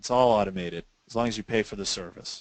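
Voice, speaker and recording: A normal speaking voice from a man at a moderate pace, with ordinary pitch variation, a dry, close sound with no echo and a quiet background. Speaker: sales tax software company owner. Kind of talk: webinar presentation. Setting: online webinar.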